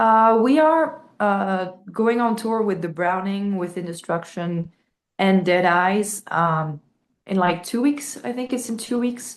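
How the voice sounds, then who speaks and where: A woman with a French accent, medium in pitch, very slow in pace, with lively intonation. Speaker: metal band vocalist. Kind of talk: interview. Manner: halting, many fillers.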